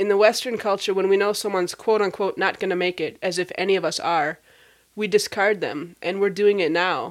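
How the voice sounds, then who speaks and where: A plain, everyday voice with an American accent. It moves at a moderate pace with fairly even intonation. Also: woman, very clean recording, silent background. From Minnesota, US Midwest. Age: 40s. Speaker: podcast host, nonprofit founder. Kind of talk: casual interview chat.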